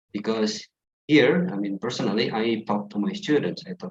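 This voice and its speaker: A man speaks with an Indonesian accent in a somewhat breathy voice. His pitch swings very widely, and the sound is dry and close with no echo. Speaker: English teacher. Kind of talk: online class discussion. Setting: video call.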